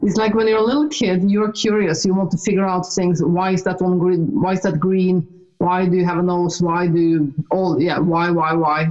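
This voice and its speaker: With a Norwegian accent, a woman speaks at a moderate pace and medium pitch, her loudness very even, her pitch varying ordinarily, and hardly any pauses. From Norway. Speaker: author and speaker, ET experiencer. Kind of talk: casual chat. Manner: halting.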